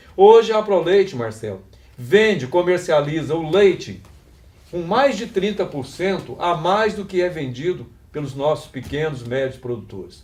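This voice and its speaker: A man's high-pitched voice with lively intonation. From Brazil, Minas Gerais (Passos region). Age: 60s. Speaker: union election candidate, retired teacher. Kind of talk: campaign interview.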